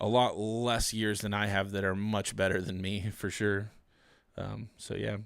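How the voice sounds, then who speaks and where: Relaxed tone, monotone and flat, at a fairly slow pace, in a very clean recording with a silent background. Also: man. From US South. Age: 30s. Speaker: YouTuber and Bible reviewer. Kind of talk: casual livestream chat. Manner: relaxed, many filler words.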